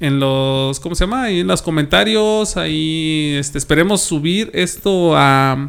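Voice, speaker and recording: An unremarkable speaking voice, with lively intonation, a fairly slow pace and hardly any pauses. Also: man, fairly high pitch for a man. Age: 30s. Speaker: podcast host. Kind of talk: casual chat.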